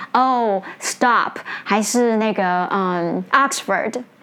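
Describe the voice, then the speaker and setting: The pace is fairly slow, with ordinary pitch variation. It is an ordinary speaking voice. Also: woman. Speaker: English teacher and podcast host. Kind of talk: educational talk.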